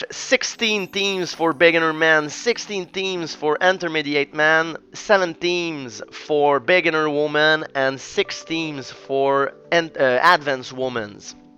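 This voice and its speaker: A man with a Quebec accent talks at a very slow pace, with hardly any pauses and a fairly high pitch showing ordinary variation. Noticeable background noise sits behind him. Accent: Québécois French accent in English. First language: French. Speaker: jiu-jitsu coach and commentator. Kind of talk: sports analysis and predictions. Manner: halting, many fillers.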